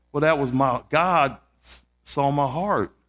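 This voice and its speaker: The voice shows ordinary pitch variation in a very clean recording with a silent background. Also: man. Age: 60s. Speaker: guest preacher. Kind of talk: sermon. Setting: church. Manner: animated.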